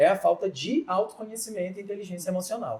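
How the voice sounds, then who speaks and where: A man talks at a fairly quick pace. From Northeast Brazil. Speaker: podcast host. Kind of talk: podcast interview.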